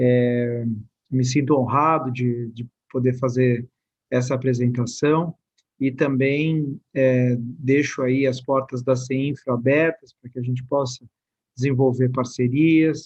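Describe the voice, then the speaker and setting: In a São Paulo accent, a man of medium pitch speaks at a very slow pace with monotone, flat intonation. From São Paulo, Brazil. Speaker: state government official. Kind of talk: presentation.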